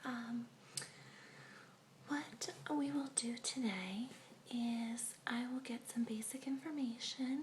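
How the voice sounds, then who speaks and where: A woman with a high pitch and ordinary pitch variation speaks at a very slow pace, with long, frequent pauses and noticeable background noise. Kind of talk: ASMR role play, clinic receptionist/therapist scene. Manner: soft whisper, slow, soothing.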